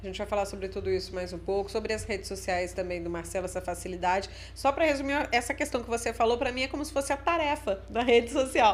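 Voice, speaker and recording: A woman talks at a very fast pace with hardly any pauses. Her high pitch swings very widely. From northern Minas Gerais. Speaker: podcast host, journalist. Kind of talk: podcast interview.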